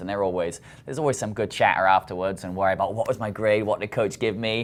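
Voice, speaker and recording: A man with a British accent, very fast pace and fairly even intonation. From Britain. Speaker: college soccer coach. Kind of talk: interview.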